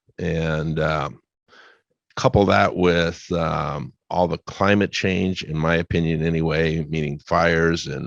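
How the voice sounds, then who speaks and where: In an American accent, a man talks at a very slow pace with very deep, low pitch, vocal fry, and fairly even intonation. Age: 70s. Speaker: retired utility worker, solar business owner. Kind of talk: radio interview.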